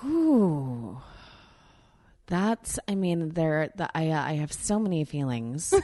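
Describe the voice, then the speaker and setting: A woman speaks at a very slow pace in a very deep, low pitch. Her intonation is lively, broken by long, frequent pauses. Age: 30s. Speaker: podcast host. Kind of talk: casual chat. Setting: home studio.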